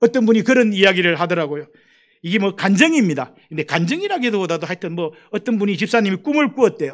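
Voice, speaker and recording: In a very clean recording with a silent background, a man with a high pitch talks at a very fast pace with lively intonation. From Gyeongsang Province, South Korea. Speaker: missionary. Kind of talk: sermon.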